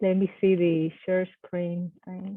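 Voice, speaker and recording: A woman talks with a Spanish accent. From Puerto Rico. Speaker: army veteran and psychology professor. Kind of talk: presentation talk.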